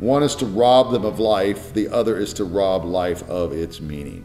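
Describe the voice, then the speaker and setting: With faint music in the background, a man speaks at a fairly low pitch with ordinary pitch variation. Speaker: pastor. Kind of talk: sermon-style teaching talk. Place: home room.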